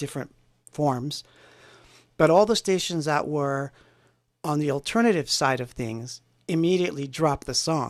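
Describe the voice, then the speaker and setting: With a New Jersey accent, a man talks at a fairly high pitch with ordinary pitch variation. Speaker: synthpop musician. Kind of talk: casual livestream chat. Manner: animated.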